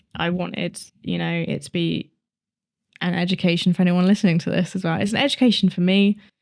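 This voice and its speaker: A woman speaks in a British accent at a medium pitch. Her intonation is fairly even and her pace fairly quick. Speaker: true crime podcast co-host. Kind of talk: casual chat.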